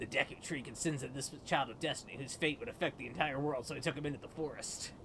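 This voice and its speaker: At a very fast pace, a man uses a put-on character voice with a fairly high pitch over clear background noise. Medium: game stream. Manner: friendly, chatty.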